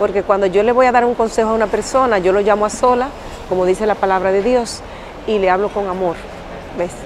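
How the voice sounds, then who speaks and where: A woman talks fairly quickly with ordinary pitch variation. The sound is dry with no echo, though background noise is noticeable. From Dominican Republic. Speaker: pilgrim. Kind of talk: testimony. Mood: earnest, passionate. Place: street. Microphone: lapel.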